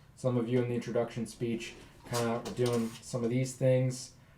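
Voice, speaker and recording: In a room with audible echo, a man talks at a moderate pace and a medium pitch. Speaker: college speech instructor. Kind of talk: recorded lecture.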